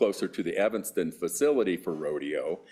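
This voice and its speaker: A man at a moderate pace. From Las Vegas, US. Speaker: real estate developer. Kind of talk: public meeting testimony. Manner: hesitant, many fillers.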